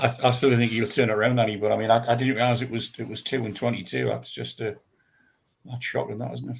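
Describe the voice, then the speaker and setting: A man talks at a very fast pace in a medium pitch with vocal fry. His intonation stays monotone and flat. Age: 70s. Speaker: football fan. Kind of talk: casual chat.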